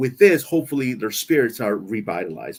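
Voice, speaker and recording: A man with a non-native accent, a moderate pace, and very wide pitch swings. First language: not English. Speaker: live stream co-host. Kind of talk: casual chat. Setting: live stream.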